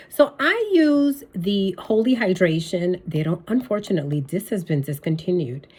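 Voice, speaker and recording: A woman's medium-pitched, somewhat breathy voice with very wide pitch swings, a moderate pace and hardly any pauses. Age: 60s. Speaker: beauty vlogger. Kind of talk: casual tutorial. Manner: casual, with many fillers.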